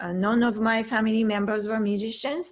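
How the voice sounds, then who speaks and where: A woman with a Japanese accent, fairly high-pitched, at a moderate pace. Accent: Japanese accent, noticeable. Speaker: piano teacher. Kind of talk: online piano lesson, personal story.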